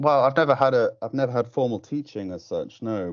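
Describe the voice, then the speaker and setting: A man with an English accent. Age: 30s. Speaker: musician. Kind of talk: casual chat. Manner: halting.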